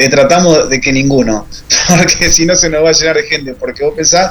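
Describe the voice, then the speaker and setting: A man with a fairly high pitch and normal variation in it talks fairly quickly while noticeable noise runs in the background. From Argentina, Rafaela (Santa Fe province). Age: 30s. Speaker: women's rugby coach and organizer. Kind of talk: interview.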